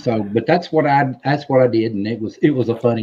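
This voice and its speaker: At a fairly quick pace, a man at medium pitch speaks with a Southern US accent. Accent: Southern twang. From US South. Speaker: civil war history enthusiast. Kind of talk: casual chat. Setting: live stream.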